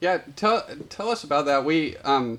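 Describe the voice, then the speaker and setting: Speaking fairly slowly, this man has an unremarkable speaking voice whose pitch varies in an ordinary way. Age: 30s. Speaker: podcast host, ministry worker. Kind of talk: casual chat.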